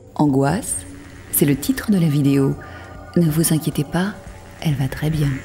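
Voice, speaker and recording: A woman with a very deep, low pitch speaks at a fairly slow pace, using ordinary pitch variation. She leaves long, frequent pauses while music plays in the background. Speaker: TV voice-over commentator. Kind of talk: TV magazine voice-over narration.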